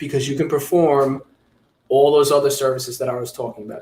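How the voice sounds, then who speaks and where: A man with a New York accent, somewhat breathy, at a fairly quick pace with fairly even intonation. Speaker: fingerprinting business owner, trainer. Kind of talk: webinar training talk.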